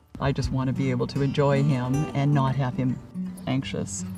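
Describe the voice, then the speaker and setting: With music in the background, a woman speaks at a moderate pace in a very deep, low pitch, keeping very even loudness and ordinary pitch variation. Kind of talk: interview answer.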